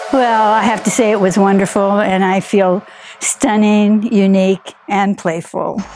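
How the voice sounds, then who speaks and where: Over noticeable background noise, a woman with an American accent speaks at a fairly slow pace and medium pitch. Her intonation is fairly even and her loudness very even. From California. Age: 80s+. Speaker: makeover client. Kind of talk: testimony.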